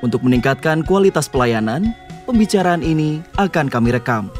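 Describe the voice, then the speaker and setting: A man speaks at a fairly quick pace in a fairly high voice, his pitch swinging very widely, with music playing in the background. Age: 30s. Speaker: voice actor. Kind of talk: phone system message.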